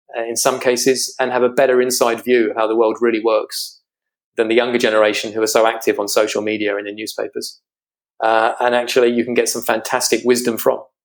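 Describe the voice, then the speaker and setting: A man with a British accent, medium pitch, monotone and flat, at a very fast pace. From Britain. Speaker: financial strategist. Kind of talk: interview.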